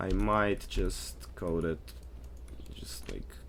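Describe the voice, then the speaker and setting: Very slow speech comes from someone with a non-native accent. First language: not English. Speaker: 3D artist and tool developer. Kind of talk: tutorial. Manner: casual, halting with fillers.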